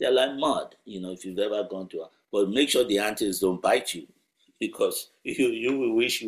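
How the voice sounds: Behind this natural reading voice, the background is quiet.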